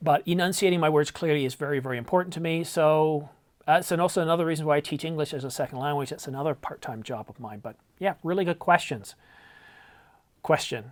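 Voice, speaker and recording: A man with an American accent mumbles at a very fast pace, his pitch fairly high and his intonation lively. His loudness swings widely, and the recording is very clean with a silent background. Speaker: camera YouTuber. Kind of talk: casual vlog talk. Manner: mumbling a little; clear enunciation.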